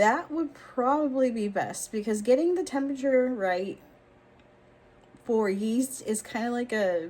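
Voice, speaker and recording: An animated woman with a high pitch at a fairly slow pace. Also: lively intonation. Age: 40s. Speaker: vlogger. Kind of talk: casual chat.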